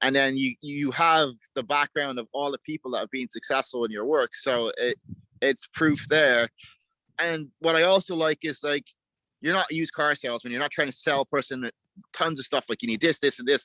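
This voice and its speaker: On a very clean recording with a silent background and a dry, close sound with no echo, a man with a fairly high pitch talks at a fairly quick pace in a bright, sharp tone with ordinary pitch variation. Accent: Irish. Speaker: dog trainer. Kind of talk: interview answer.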